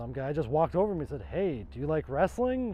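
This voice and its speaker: In a Canadian accent, a man with a plain, everyday voice speaks at a fairly high pitch with lively intonation. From Ontario, Canada. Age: 30s. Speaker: pro wrestler. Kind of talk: documentary interview.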